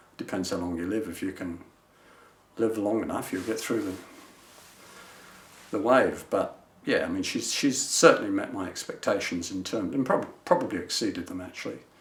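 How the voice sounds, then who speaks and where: Moderate pace, long and frequent pauses, and audible room echo. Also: man. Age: 70s. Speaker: retired business manager, client. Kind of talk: testimonial interview. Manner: conversational, hesitant with fillers.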